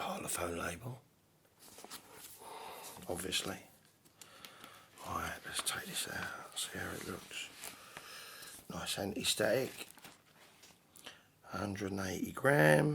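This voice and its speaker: Whispering at a very slow pace with long, frequent pauses, a man speaks with a British accent. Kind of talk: casual talk to camera.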